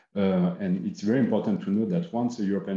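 At a fairly quick pace, a man with a dark, mellow tone speaks in a fairly low pitch with lively intonation, against a quiet background with audible room echo. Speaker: standardization official. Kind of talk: panel discussion. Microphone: webcam.

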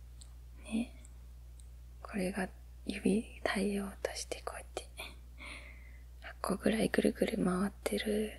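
A soft-spoken voice in a gentle tone, very slow in pace, with a dry sound and no echo. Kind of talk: casual explanatory chat about space. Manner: soft-spoken, gentle ASMR voice.

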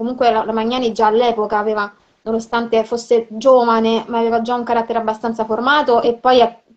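A woman speaking very fast in a monotone, flat intonation against a quiet background. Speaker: film historian. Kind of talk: live video conversation about women in cinema and literature. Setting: video call live stream. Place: home room. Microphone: video call.

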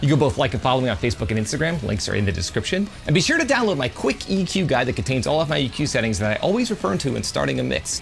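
Over faint music in the background, a man talks at a very fast pace with hardly any pauses. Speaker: home recording reviewer. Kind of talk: product review commentary. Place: home room.

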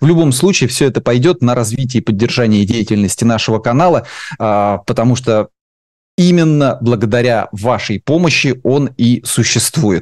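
Against a quiet background, a man speaks at medium pitch and a moderate pace, with ordinary pitch variation, very even loudness and a dry sound with no echo. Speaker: interviewer, channel host; host of interview channel. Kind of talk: interview. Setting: studio. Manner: hesitant, many filler sounds. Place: home room. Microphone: headset.

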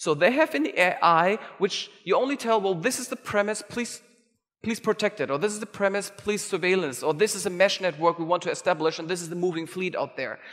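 Against a quiet background, a man talks with lively intonation. His pitch is high. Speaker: conference organizer and keynote speaker. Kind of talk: keynote talk. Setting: stage with audience. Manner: fast talker. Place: hall. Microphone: headset.

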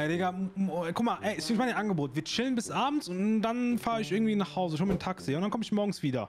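A man's put-on character voice, high-pitched and whiny, very fast with lively intonation over clear background noise. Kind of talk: comic overacting. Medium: machinima. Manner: whiny, pleading, fearful.

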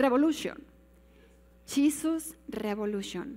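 A woman's very slow delivery, pitch leaping very widely up and down. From Mexico. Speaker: pastor. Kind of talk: sermon. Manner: animated. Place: church.

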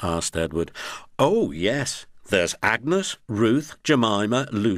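Natural-voiced reading aloud.

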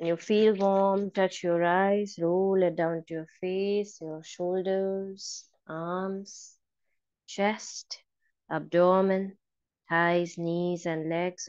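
Against a quiet background, a woman with a fairly low pitch speaks very slowly in a monotone, flat delivery, the sound dry with no echo. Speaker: yoga meditation trainer. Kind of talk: guided meditation, calm step-by-step instructions in mixed Hindi and English. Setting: live online class. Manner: slow, soft-spoken and soothing, with long pauses and repeated bilingual cues. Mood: calm, soothing. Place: home room. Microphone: video call.

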